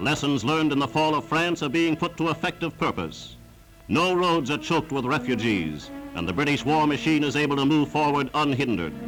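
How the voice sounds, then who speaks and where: Music in the background behind a man's fairly high voice, dramatic in tone, with very even loudness, a moderate pace and ordinary pitch variation. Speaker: newsreel narrator. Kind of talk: wartime newsreel narration. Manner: dramatic, emphatic.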